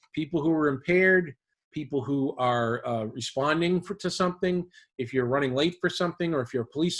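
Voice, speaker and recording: This man speaks at a very fast pace, his pitch fairly high for a man and its variation ordinary. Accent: Boston. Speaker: driving safety instructor. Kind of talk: webinar presentation. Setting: online webinar.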